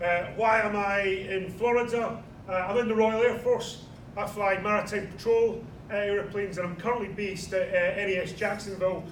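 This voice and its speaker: Amid noticeable background noise and audible room echo, a man with a Scottish accent speaks at a moderate pace in a high pitch with monotone, flat intonation. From Scotland, Edinburgh. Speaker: military pilot giving a history talk. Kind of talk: lecture. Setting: small audience at a heritage event. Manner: hesitant, many fillers.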